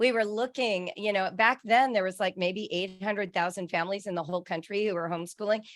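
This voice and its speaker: On a very clean recording with a silent background, a woman with an ordinary speaking voice talks at a medium pitch with ordinary pitch variation. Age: 60s. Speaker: author. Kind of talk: interview.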